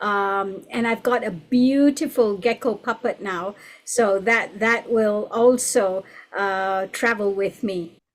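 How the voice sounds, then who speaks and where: A woman with a Gujarati accent speaks at a very slow pace with ordinary pitch variation. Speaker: storyteller. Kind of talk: online panel discussion.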